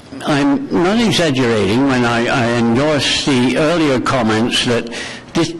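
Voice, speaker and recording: A man's medium-pitched voice with lively intonation, at a fairly slow pace, amid audible room echo and noticeable background noise. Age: 80s+. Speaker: war veteran. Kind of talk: public delegation testimony. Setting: council committee meeting.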